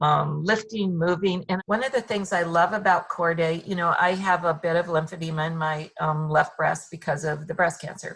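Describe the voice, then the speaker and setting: A woman's unremarkable speaking voice, fairly low in pitch, with fairly even intonation, a moderate pace and hardly any pauses. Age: 60s. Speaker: fitness client sharing recovery experience. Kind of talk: interview testimony.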